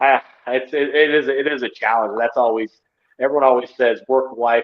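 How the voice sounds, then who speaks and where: A man with an American accent speaks at medium pitch and a moderate pace. His intonation is monotone and flat. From Utah. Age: 30s. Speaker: pro wrestler. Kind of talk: casual chat.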